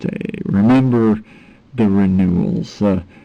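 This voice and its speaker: Very wide pitch swings at a fairly slow pace. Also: man. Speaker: video blogger and artist. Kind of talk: monologue vlog. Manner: halting, repetitive.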